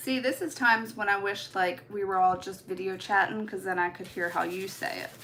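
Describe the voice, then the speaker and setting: With a slight Baltimore accent, a woman at medium pitch talks at a fairly quick pace with hardly any pauses and ordinary pitch variation, over noticeable background noise. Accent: slight Baltimore twang. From US Midwest. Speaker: nail art content creator. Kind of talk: live stream tutorial chat. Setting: live stream. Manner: casual, chatty.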